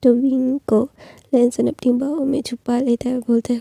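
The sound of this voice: A woman speaks at a moderate pace with a fairly high pitch, little pitch movement and vocal fry. Her tone is dark and mellow, and the sound is dry and close with no echo.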